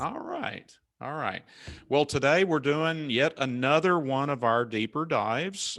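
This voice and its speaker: A man with a Southern US accent speaks at a moderate pace in a bright, sharp tone, pitched fairly high, with ordinary pitch variation. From US South. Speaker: cybersecurity consultant. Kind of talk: webinar presentation. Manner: casual.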